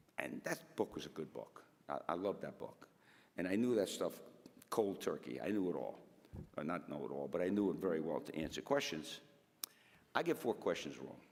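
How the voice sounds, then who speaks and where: Speaking fairly quickly with a New York accent, a man uses a very deep, low pitch with vocal fry and very wide pitch swings, broken by long, frequent pauses. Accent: New York area. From Connecticut, Stamford. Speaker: fire officer. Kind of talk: speech to audience, storytelling. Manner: halting, repetitive.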